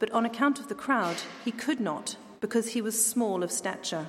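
A woman talks at a moderate pace in a plain, everyday voice. Her fairly high pitch shows ordinary pitch variation. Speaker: scripture reader. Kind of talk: reading aloud. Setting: church.

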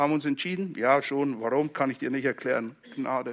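Here a man speaks in a plain, everyday voice at a moderate pace, his pitch fairly high with ordinary variation. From Switzerland, Zurich Oberland (Hinwil). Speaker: pastor. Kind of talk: sermon.

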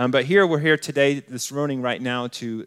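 A man with an American accent in a normal speaking voice, medium pitch, ordinary pitch variation and a fairly quick pace, in a dry, close sound with no echo. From US West (Colorado Springs, Colorado). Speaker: campus pastor, guest preacher. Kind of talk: sermon.

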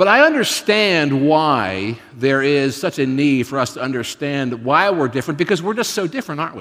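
A man with an ordinary speaking voice, fairly high in pitch, moderate in pace and lively in intonation, with hardly any pauses, on a very clean recording with a silent background. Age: 50s. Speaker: pastor. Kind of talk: sermon.

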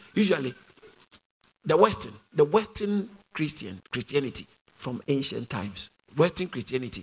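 With vocal fry and very wide pitch swings, a man talks at a moderate pace in a fairly high pitch, leaving long, frequent pauses. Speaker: preacher. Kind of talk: sermon.

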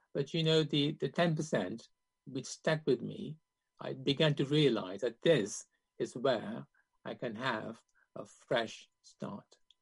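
Vocal fry and lively intonation mark this very slow delivery, broken by long, frequent pauses. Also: man, fairly high pitch for a man. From Kenya, Indian family, raised then in UK. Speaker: surgeon. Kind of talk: interview testimony. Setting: video call.

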